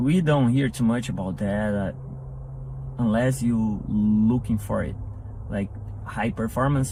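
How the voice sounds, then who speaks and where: Over noticeable background noise, a speaker with a Portuguese accent talks at a moderate pace with very wide pitch swings. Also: man. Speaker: entrepreneur. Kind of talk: interview. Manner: halting.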